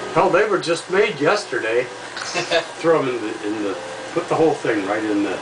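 Over noticeable background noise, a man speaks at a moderate pace with very wide pitch swings. He leaves long, frequent pauses. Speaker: grandfather. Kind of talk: casual conversation. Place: kitchen. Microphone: camera far.

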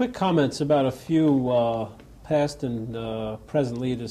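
Pitch variation is ordinary for this man. He talks at a fairly slow pace. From United States. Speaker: TV interviewer. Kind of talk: interview. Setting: government office in Jerusalem. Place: studio. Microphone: lapel.

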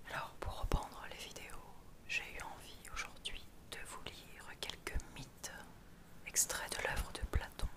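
A woman whispers at a very slow pace. Long, frequent pauses break up her speech. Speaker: ASMR creator. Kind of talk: casual talk to camera. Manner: whispered.

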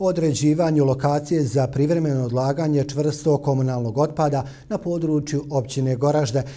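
A man talks at a fairly quick pace with hardly any pauses, using fairly even intonation and very even loudness. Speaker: news anchor. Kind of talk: news reading. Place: studio. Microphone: lapel.

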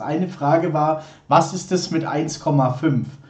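A man's fairly high voice, an ordinary speaking voice, with ordinary pitch variation. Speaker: livestream host. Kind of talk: casual live stream chat. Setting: live stream studio. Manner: chatty, informal.

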